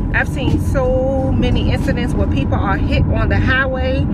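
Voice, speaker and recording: A woman at a moderate pace, dry and echo-free, over loud background noise. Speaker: vlogger. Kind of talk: casual vlog chat, storytelling. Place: car. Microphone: phone near.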